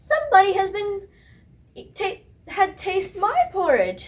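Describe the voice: The speech runs at a fairly slow pace. The voice is a put-on character voice. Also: woman, extremely high pitch for a woman.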